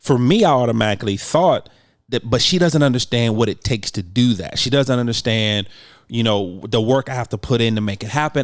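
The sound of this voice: Talking at a fairly quick pace with few pauses, a man holds a medium pitch and ordinary pitch variation.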